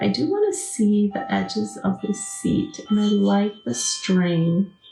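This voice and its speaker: Over music in the background, a woman with an American accent talks at a fairly slow pace with hardly any pauses. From Wisconsin. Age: 60s. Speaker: craft channel host. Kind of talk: live craft tutorial chatting with viewers. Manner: casual, chatty.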